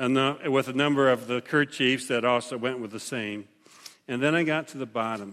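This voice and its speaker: This man has a plain, everyday voice at a medium pitch. He talks at a moderate pace with fairly even intonation. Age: 60s. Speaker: pastor. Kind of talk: sermon. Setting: church.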